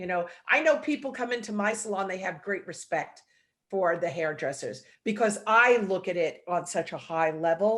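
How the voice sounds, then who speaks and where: A woman talks in a New York accent at a medium pitch and a moderate pace. The background is quiet. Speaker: salon owner and hair educator. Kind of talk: video call interview. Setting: video call.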